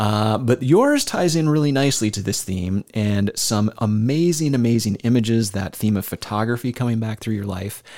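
An ordinary speaking voice at a moderate pace comes through in a very clean recording with a silent background. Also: man. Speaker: podcast host. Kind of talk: casual interview.

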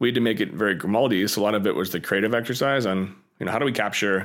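Over a very clean, silent background, a man talks at a very fast pace in a fairly low voice with ordinary pitch variation. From Pittsburgh, US. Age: 30s. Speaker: video game studio founder. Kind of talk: interview.

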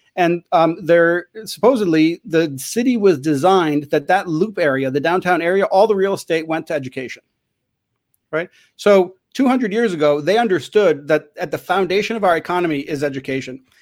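Here a man with an American accent speaks at a fairly quick pace. His voice is high-pitched, with ordinary pitch variation. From Chicago. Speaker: school principal and author. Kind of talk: interview.

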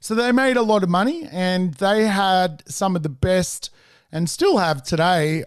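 The background stays quiet. A man talks with a high pitch. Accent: Australian. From Sydney, Australia. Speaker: property investor and mentor. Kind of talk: interview storytelling.

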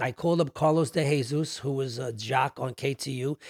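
With a New York accent, a man speaks somewhat breathily at a fairly high pitch, his intonation fairly even. The sound is dry and close, with no echo. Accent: New York (Bronx). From New York City, South Bronx. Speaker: music executive. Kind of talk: casual interview chat.

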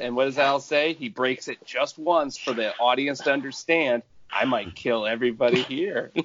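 A plain, everyday voice, a man with an American accent, fairly high pitch, ordinary pitch variation, moderate pace. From Michigan. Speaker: Patreon fan, podcast roundtable guest. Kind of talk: casual chat about a TV show.

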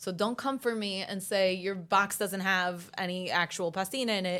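In a very clean recording with a silent background, a woman at a medium pitch speaks at a moderate pace with hardly any pauses, using an animated, bright, sharp tone and ordinary pitch variation. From New York City (Bensonhurst, Brooklyn), Italian-born family. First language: Italian. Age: 30s. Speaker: food influencer and author. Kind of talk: casual chat.

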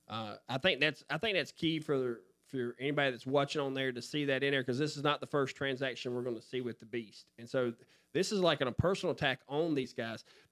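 A man talks in a plain, everyday voice at medium pitch and a fairly quick pace. His pitch varies in an ordinary way, and the sound is dry and close with no echo. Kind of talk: Bible study discussion, asking questions.

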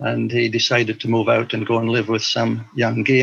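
A man with a Highland Scottish accent at a moderate pace. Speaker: missionary and teacher. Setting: video call.

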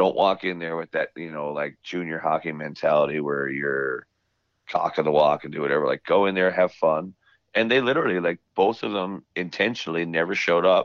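A man with a very deep, low pitch and a Newfoundland accent, fairly quick, with ordinary pitch variation and big swings in loudness. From Newfoundland, Canada. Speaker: country singer. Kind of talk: interview. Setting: remote call. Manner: animated.

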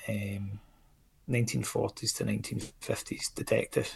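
A man speaks with a Scottish accent. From Scotland. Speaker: indie comics creator. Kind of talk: casual chat. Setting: video call.

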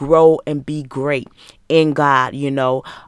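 In a very clean recording with a silent background and a dry, close sound with no echo, a woman with an American accent speaks at a fairly slow pace with fairly even intonation. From Michigan, US. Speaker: life coach and podcast host.

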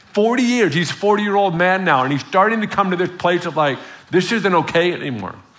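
A high-pitched male voice at a moderate pace, with ordinary pitch variation and noticeable background noise. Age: 40s. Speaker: visiting preacher. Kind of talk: sermon. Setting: church with congregation. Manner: animated.

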